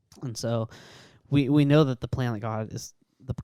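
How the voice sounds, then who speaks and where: With a dry, close sound and no echo, a man talks at a fairly quick pace and medium pitch with fairly even intonation. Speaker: podcast co-host. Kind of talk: casual faith discussion. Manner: halting, many false starts.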